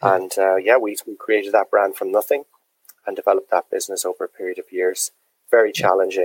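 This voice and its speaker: A man with a Dublin accent talks at a very fast pace, his voice sounding dry and close with no echo. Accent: Dublin Irish. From Dublin, Ireland. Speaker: drinks entrepreneur, distillery founder. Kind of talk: interview.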